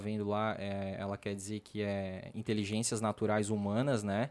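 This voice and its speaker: Speaking at a moderate pace, a man has an ordinary speaking voice. His pitch is medium. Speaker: podcast host. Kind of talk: casual chat. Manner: casual.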